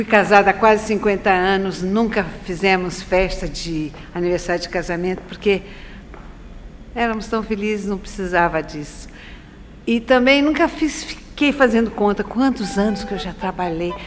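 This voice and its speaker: Medium-pitched woman at a moderate pace, ordinary pitch variation, noticeable background noise. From Brazil, São Paulo city. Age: 70s. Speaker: dancer and choreographer. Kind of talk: interview.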